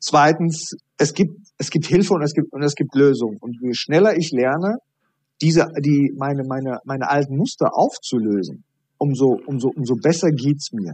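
A man uses a normal speaking voice, fairly high in pitch, with ordinary pitch variation. The background is quiet. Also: moderate pace. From Iraqi-born, grew up in Germany. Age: 40s. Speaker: high performance coach. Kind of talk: interview.

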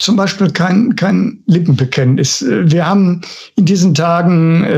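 Speaking at a fairly high pitch, a man shows ordinary pitch variation. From Ruhr area, Germany (Bochum). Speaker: housing association director. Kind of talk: interview. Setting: studio. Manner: halting, repeats words.

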